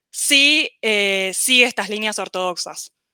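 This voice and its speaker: On a very clean recording with a silent background and a dry, close sound with no echo, a woman with a fairly high pitch and a bright, sharp tone speaks with lively intonation. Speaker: economics student panelist. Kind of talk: panel presentation. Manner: fast.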